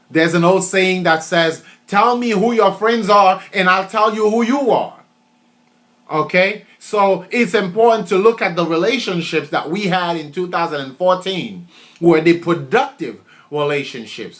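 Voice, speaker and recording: Here a man talks at a moderate pace. His voice is high, with ordinary pitch variation. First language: French. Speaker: motivational speaker. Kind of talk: motivational talk. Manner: repetitive, emphatic.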